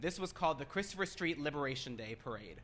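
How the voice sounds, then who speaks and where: With an American accent, a man speaks in a bright, sharp tone. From Florida. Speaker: trade show speaker. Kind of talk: presentation.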